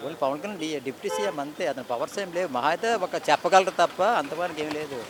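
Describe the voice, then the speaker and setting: Fairly high-pitched male speech with ordinary pitch variation against noticeable background noise. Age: old. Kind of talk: street interview answer. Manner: casual.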